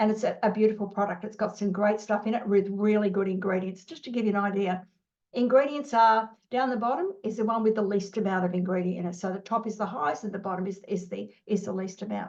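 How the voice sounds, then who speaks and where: A woman with an Australian accent and medium pitch talks at a very fast pace. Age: 60s. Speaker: business owner. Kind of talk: interview. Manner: animated; halting.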